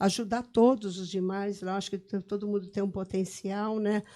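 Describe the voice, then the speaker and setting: In a very clean recording with a silent background, a woman speaks at a fairly slow pace, her medium-pitched voice dark and mellow in tone. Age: 60s. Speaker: mayor. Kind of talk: podcast interview. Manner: halting.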